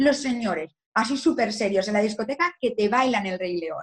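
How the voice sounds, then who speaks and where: A woman's fairly high voice moves at a moderate speed. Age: 20s. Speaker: lawyer. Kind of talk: interview. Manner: animated.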